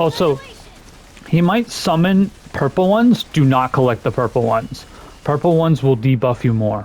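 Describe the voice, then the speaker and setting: Amid noticeable background noise, a man speaks in an animated tone with very wide pitch swings, very even loudness, and long, frequent pauses. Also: moderate pace. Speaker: gaming YouTuber. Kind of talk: gameplay commentary tutorial. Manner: casual, animated.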